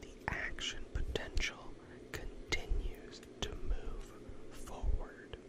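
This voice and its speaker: Someone whispers in a calm tone over noticeable background noise. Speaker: ASMR educator, physician-style host. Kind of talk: educational ASMR lecture on nervous system physiology, sleep-aid. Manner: whispered, soft, calm.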